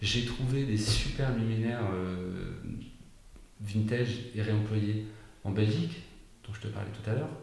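Against noticeable background noise and audible room echo, a man with a fairly low pitch talks at a fairly slow pace with long, frequent pauses. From Brittany, between Rennes and Saint-Malo. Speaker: hotel and restaurant founder. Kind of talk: interview. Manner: halting, repeats words.

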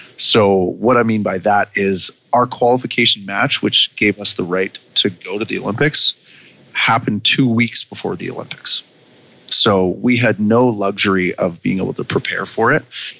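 The speaker has a Canadian accent and ordinary pitch variation. The sound is dry and close with no echo, with noticeable background noise. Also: man, fairly low pitch for a man, moderate pace. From Canada. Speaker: former Olympic beach volleyball player and coach. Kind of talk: casual interview.

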